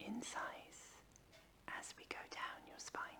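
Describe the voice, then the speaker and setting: A woman's whisper at a very slow pace, with noticeable background noise. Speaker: chiropractor. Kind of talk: ASMR pain education. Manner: whispered, soft-spoken.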